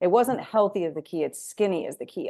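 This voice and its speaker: Against a quiet background, an unremarkable speaking voice moves with lively intonation. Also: woman. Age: 30s. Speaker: podcast host and weight loss coach. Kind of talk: casual interview chat.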